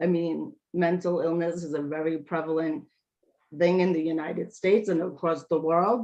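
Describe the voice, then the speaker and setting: A woman talks in a New York accent at a fairly low pitch. Her intonation is fairly even, and her tone is dark and mellow. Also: moderate pace. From Brooklyn, New York. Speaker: speech language pathologist and author. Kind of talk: interview answer.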